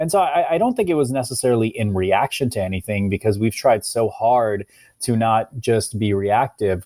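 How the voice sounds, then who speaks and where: A man with an American accent speaks at a medium pitch and moderate pace, his dark, mellow tone showing ordinary pitch variation on a very clean, dry, close recording with a silent background and no echo. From US Midwest, Cincinnati, Ohio. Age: 30s. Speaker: nonprofit president. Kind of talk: interview. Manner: hesitant, many fillers.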